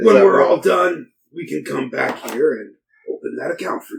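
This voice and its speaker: Using a put-on character voice, a man speaks at a moderate pace in a raspy tone, with big swings in loudness. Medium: actual play. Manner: earnest, measured persuasion.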